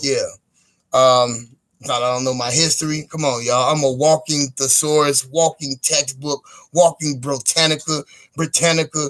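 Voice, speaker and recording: A man with an American accent speaks at a moderate pace in a fairly high voice for a man. His intonation is flat and monotone, and the sound is dry and close with no echo. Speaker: live streamer. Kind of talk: casual livestream monologue. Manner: halting, repetitive.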